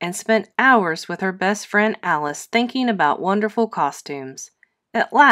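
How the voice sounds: Lively intonation runs through a natural reading voice. Behind it, the background is quiet.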